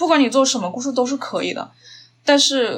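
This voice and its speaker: A woman is speaking. She has a Changsha accent. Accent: Changsha-accented Mandarin. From China, Hunan (Changsha). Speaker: documentary filmmaker. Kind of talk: interview conversation.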